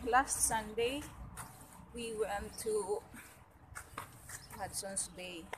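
Light background noise accompanies a woman talking. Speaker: vlogger. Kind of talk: casual vlog chat. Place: street. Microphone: phone near.

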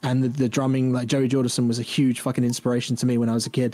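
A man's dark, mellow voice at medium pitch, fairly quick, with monotone, flat intonation. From England. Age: 30s. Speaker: metal band vocalist; guest. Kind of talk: casual chat. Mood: relaxed, joking. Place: home room.

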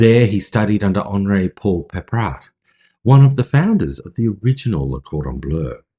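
A man with a fairly low pitch and a dark, mellow tone speaks somewhat breathily, his pitch swinging very widely over a quiet background. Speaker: podcast host. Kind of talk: narrated storytelling. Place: home room. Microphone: phone near.

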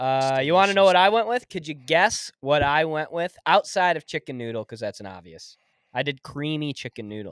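Against a quiet background, a man with a fairly high pitch speaks at a fairly quick pace, with very wide pitch swings and big swings in loudness. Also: dry sound with no echo. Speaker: podcast host. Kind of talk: casual chat. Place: studio. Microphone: studio mic.

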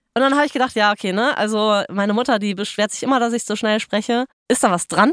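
At a very fast pace, a woman speaks with fairly high pitch and ordinary pitch variation, the sound dry and close with no echo. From western Germany, Ruhr/Rhineland area. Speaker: podcast co-host. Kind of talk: casual chat. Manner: animated.

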